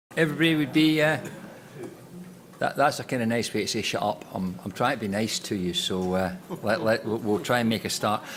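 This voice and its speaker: A man with a Scottish accent talks at a fairly quick pace. His pitch sits in the medium range. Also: lively intonation. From Scotland. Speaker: panel chair, politician. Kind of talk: panel discussion introduction. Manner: casual, joking.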